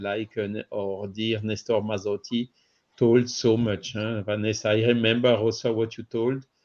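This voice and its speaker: The man's pitch is medium. He talks at a moderate pace. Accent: French. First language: French. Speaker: spiritist radio co-host. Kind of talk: panel discussion. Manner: halting, many fillers.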